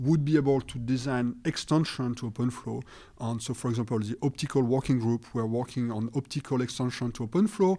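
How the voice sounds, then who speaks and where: Speaking at a fairly quick pace, a man uses a medium pitch with a dark, mellow tone and ordinary pitch variation. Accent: French. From France. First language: French. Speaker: networking researcher. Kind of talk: interview.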